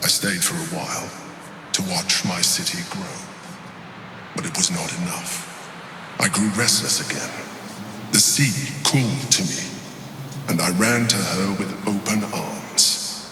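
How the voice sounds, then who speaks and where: A man's put-on character voice, fairly low and fairly slow, with clear echo and loud background noise. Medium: machinima. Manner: grandiose, haughty.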